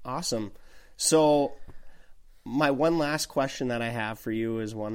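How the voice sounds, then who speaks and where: A man with an Upper Midwest accent speaks at a moderate pace with ordinary pitch variation. The recording is very clean, with a silent background. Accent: Upper Midwest American. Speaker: podcast host. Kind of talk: casual chat. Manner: uses many fillers.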